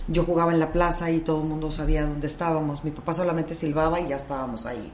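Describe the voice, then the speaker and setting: Amid audible room echo, a woman with a very deep, low pitch talks very fast in a monotone, flat way. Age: 50s. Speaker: life coach. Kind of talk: casual chat.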